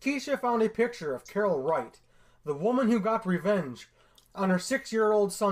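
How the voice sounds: A natural reading voice carries the whole clip.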